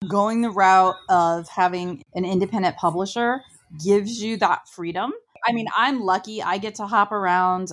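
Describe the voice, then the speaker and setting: A woman's normal speaking voice in an American accent, medium in pitch, at a moderate pace with fairly even intonation, on a very clean recording with a silent background. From Ohio, small town. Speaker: podcast host and author. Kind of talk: interview.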